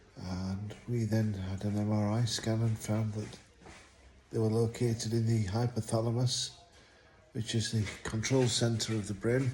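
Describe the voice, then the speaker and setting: A man's medium-pitched voice in a monotone, flat intonation at a fairly slow pace. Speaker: stroke survivor vlogger. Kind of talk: personal video diary. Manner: slightly clumsy, less strong speech.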